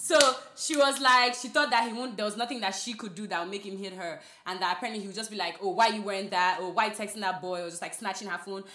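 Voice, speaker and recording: Over noticeable background noise, a woman with an African accent talks at a very fast pace, medium in pitch with ordinary pitch variation. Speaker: podcast co-host. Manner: casual, animated.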